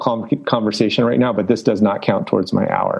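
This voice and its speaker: Speaking with a Californian accent, a man has a medium pitch. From Los Angeles, San Fernando Valley. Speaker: college soccer head coach. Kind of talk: podcast interview.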